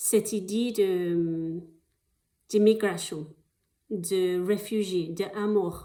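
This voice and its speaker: A woman with a non-native accent, a dark, mellow tone, fairly even intonation and a very slow pace. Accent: foreign accent in French. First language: not French (speaking French). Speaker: actress applying for an artist residency. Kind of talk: video application pitch. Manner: halting, many hesitations.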